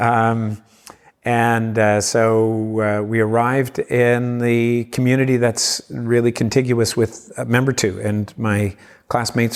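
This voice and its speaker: A man speaks at medium pitch with a Cape Breton accent and monotone, flat intonation. The recording is very clean, with a silent background. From Cape Breton, Nova Scotia, Canada. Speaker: community engagement leader and former defence lawyer. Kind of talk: interview conversation. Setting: convention centre talk event.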